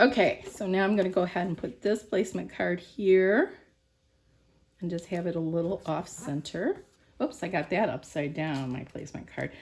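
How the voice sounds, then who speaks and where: Her intonation lively, a woman with a fairly low pitch speaks at a moderate pace. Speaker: crafting video host. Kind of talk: tutorial. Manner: casual, talking to herself.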